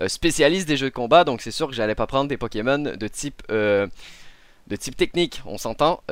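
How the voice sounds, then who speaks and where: A man's ordinary speaking voice at medium pitch and moderate pace, in a very clean, dry, close recording with a silent background and no echo. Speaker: gaming podcast host and video creator. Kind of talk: news reading; casual panel discussion. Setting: live-streamed studio recording.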